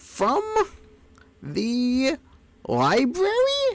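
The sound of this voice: Squeaky and high-pitched, this is a put-on character voice.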